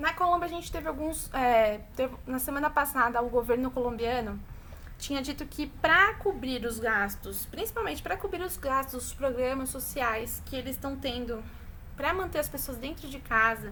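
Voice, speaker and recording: A woman's raised, projected voice at a high pitch, with ordinary pitch variation, a moderate pace and audible room echo. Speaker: teacher. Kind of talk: online class lecture.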